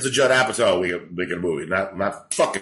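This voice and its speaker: Bright and sharp in tone, a man with a New York accent talks at a fairly quick pace. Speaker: stand-up comedian. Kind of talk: casual chat. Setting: living in Los Angeles.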